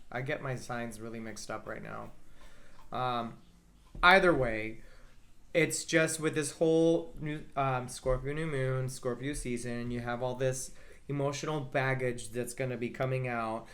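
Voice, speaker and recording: A man with a medium pitch speaks in an animated tone at a fairly slow pace, with ordinary pitch variation and audible room echo. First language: Spanish. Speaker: astrologer. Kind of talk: casual chat.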